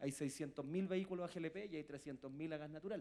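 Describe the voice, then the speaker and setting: A man's dark, mellow tone with a Chilean accent, fairly high pitch and ordinary pitch variation. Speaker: industry association president. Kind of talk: conference panel talk.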